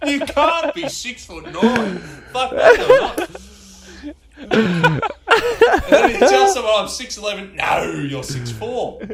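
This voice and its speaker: Talking at a very slow pace, a man leaves long, frequent pauses, and his loudness swings widely. Noticeable background noise and audible room echo fill the recording. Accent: Australian. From Ballarat, Victoria, Australia. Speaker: podcast guest. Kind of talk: casual chat.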